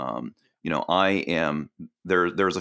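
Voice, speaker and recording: Very deep, low male voice with vocal fry against a quiet background. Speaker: educator and trainer. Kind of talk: casual interview chat. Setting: podcast interview. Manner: hesitant, filler-heavy.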